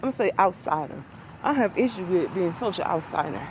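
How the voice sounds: A woman speaks at a medium pitch with a slightly mellow tone. Her intonation is lively.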